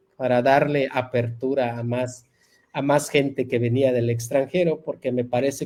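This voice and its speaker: A man's dark, mellow voice at medium pitch, with fairly even intonation, a moderate pace and a Yucatán accent. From Yucatán Peninsula, Mexico (Maya-speaking jungle community). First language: Yucatec Maya (speaking Spanish). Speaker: university professor and Maya language revitalization leader. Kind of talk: interview.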